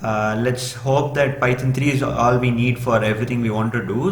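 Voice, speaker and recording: Amid audible room echo and noticeable background noise, a man with a Tamil accent talks at a fairly quick pace in a medium pitch with fairly even intonation. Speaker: programming tutor. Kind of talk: tutorial. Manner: hesitant, many fillers.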